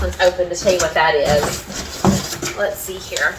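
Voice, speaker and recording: A woman speaks at a medium pitch with a Southern US accent. Noticeable background noise and audible room echo are present. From US South. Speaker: home cleaning vlogger. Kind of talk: casual vlog chat.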